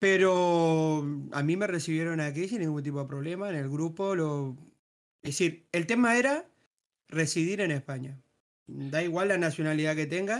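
A man with an unremarkable speaking voice talks at a moderate pace and fairly high pitch, with ordinary pitch variation. The recording is very clean, with a silent background. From Uruguay. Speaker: gaming group member. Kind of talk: casual group discussion.

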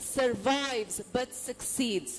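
Speaking with an Indian accent, a woman keeps her intonation fairly even. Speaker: event host. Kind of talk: onstage interview. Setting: stage with audience.

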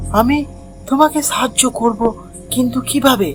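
A cartoonish character voice sits at a fairly high pitch. Clear background noise runs underneath.

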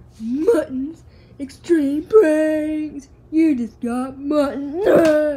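A woman in a put-on character voice talks at a very slow pace with a high pitch. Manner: gleeful, scatterbrained.

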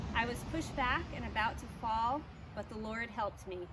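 A woman talks at a moderate pace. Noticeable background noise is present. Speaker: church service leader. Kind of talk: church announcements. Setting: outdoors. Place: garden. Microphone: camera far.

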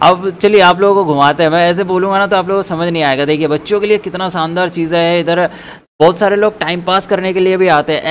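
Pitched high, a man speaks at a moderate pace with fairly even intonation. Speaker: vlogger giving a mall tour. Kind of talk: casual vlog chat. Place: hall. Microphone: phone near.

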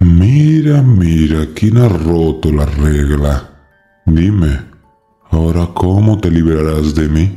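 A man puts on a guttural character voice with a very deep, low pitch. He speaks at a very slow pace over faint music in the background. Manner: taunting, menacing.

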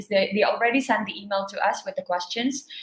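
A woman's voice carries audible room echo. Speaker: event host. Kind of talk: webinar host introduction. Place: home room. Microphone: webcam.

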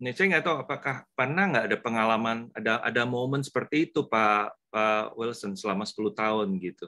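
The voice is bright and sharp, with ordinary pitch variation. It moves at a fairly quick pace with hardly any pauses, over a quiet background. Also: man, medium pitch for a man. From Indonesia. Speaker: church webinar moderator. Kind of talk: webinar moderation. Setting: video call. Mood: friendly, smiling. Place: home room. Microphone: video call.

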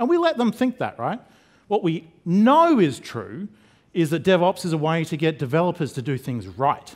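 Against a quiet background, a man talks at a moderate pace. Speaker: conference presenter. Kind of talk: lecture. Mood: jokey, relaxed. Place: stage. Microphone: headset.

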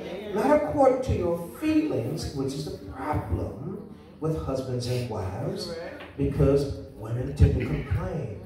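Noticeable background noise and audible room echo accompany a man speaking at a very slow pace. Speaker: preacher. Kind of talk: sermon. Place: church.

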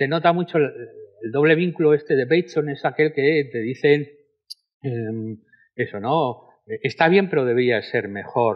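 A plain, everyday voice from a man, fairly high in pitch, fairly slow, with ordinary pitch variation. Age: 60s. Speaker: sociology professor. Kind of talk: panel discussion. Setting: stage with audience.

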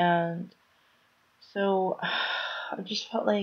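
A woman sounds tired, her intonation flat and monotone. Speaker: vlogger. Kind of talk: casual vlog chat. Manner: low, tired, drained voice. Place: home room. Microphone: webcam.

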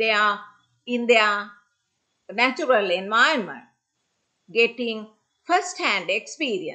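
Very slowly and with long, frequent pauses, a woman speaks at a fairly high pitch with very wide pitch swings against a quiet background. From Sri Lanka. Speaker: senior lecturer. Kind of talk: conference presentation. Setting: video call. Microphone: video call.

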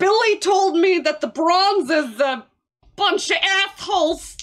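A fairly slow pace marks this clip. The voice is a put-on character voice. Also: woman, extremely high pitch for a woman. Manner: fake spooky ghoul voice.

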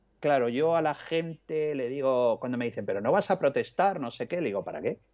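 A man talks at a fairly slow pace in a fairly high voice. His pitch varies in an ordinary way against a quiet background. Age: 50s. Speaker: journalist and author; journalist. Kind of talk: interview. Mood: reflective, conversational. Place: home room. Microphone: earbuds.

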